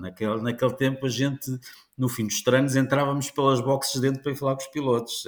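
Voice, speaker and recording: The man talks at a fairly quick pace with a medium pitch. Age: 60s. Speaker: motorsport journalist and commentator. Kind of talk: podcast interview. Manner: halting, many repetitions.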